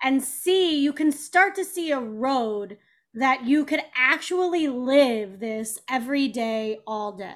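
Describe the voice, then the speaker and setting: In an American accent, a woman with a high voice speaks very slowly, her intonation lively. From Kansas City. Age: 40s. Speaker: tap dancer and author. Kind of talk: casual interview.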